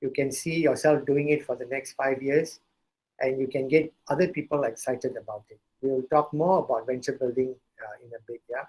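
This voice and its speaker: Pitched fairly high, a man speaks in a normal speaking voice. His intonation is fairly even and his pace moderate. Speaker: entrepreneur and startup speaker. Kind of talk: lecture.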